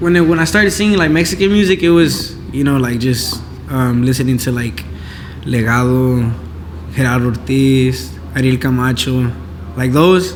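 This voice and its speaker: A moderately paced voice with a Spanish accent and very wide pitch swings, plus audible room echo and noticeable background noise. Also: man, medium pitch for a man. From Inglewood, California, US. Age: 18. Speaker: singer-songwriter. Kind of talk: casual interview.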